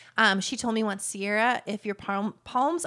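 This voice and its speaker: This woman's voice has a bright, sharp tone and ordinary pitch variation. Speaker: entrepreneur and business coach. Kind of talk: interview. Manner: fast talker.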